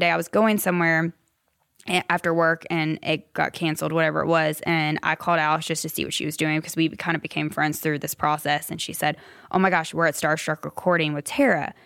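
A woman with an American accent and a normal speaking voice, fairly low in pitch, at a fairly quick pace, in a very clean recording with a silent background. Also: fairly even intonation. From US South, upstate South Carolina. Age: 30s. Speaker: music publisher. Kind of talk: interview storytelling.

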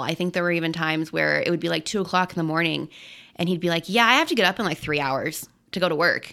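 A woman speaks at a very fast pace in a fairly low voice. Her tone is bright and sharp. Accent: American. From Colorado. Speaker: guest's wife. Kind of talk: testimony.

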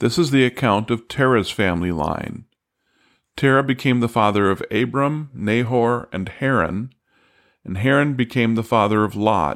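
There is a normal speaking voice here, with ordinary pitch variation. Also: man, medium pitch for a man, moderate pace, very clean recording, silent background. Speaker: Bible teacher and podcast host. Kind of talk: scripture reading aloud, steady and solemn, then plain teaching commentary. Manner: measured, even-paced, formal reading cadence; clear, calm, instructive.

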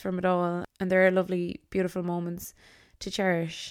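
On a very clean recording with a silent background, a woman with an Irish accent speaks at a moderate pace and medium pitch in an animated tone. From Ireland, County Tipperary. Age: 20s. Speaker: podcast host and content creator. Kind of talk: solo podcast monologue. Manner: animated, laughs often.

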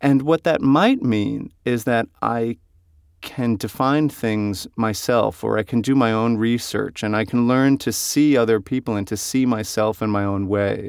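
With an American accent, a man speaks in a normal speaking voice at a medium pitch, with ordinary pitch variation. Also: very clean recording, silent background. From US. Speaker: actor and writer. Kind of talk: interview.

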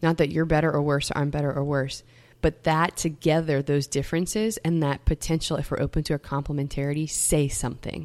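On a very clean recording with a silent background, a woman with an American accent speaks at a fairly quick pace in a very deep, low pitch with fairly even intonation. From US South, Metairie, Louisiana. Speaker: campus minister and bioethics doctoral student. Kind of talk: casual chat.

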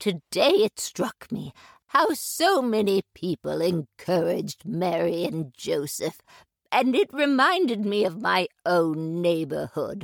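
A woman's put-on character voice at medium pitch and a fairly slow pace, with a dry, close sound and no echo. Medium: audio drama. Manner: warm, gentle.

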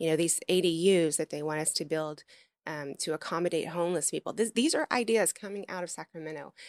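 In an American accent, a woman speaks at a very fast pace with a fairly low pitch and ordinary pitch variation, in a very clean, dry, close recording with no echo and a silent background. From US South, Memphis, Tennessee. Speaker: former Secret Service agent and political candidate. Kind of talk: interview.

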